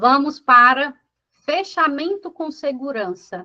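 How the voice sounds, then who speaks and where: A woman's raised, projected voice, high in pitch and bright and sharp in tone, very slow, with lively intonation. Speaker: business coach. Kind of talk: lecture.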